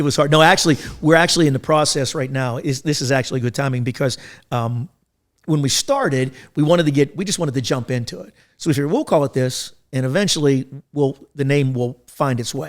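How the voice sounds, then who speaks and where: A man with a fairly high pitch talks very fast. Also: ordinary pitch variation. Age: 60s. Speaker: podcast host and business consultant. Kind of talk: casual chat.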